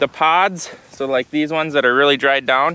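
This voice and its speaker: At a moderate pace, a man talks with fairly even intonation in a dry sound with no echo. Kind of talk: casual vlog chat. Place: open country. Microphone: phone near.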